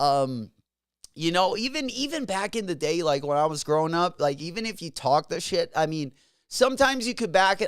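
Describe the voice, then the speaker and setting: A man mumbles at a fairly quick pace, his voice making very wide pitch swings. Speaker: livestream host, sneaker reseller. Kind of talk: casual livestream chat. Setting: live stream. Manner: mumbling; casual, halting with fillers.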